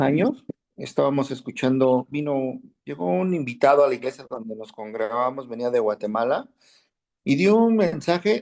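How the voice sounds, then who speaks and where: Using an unremarkable speaking voice, a man with a fairly high pitch talks at a moderate pace with lively intonation. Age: 60s. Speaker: Bible class teacher. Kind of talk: class discussion, personal anecdote.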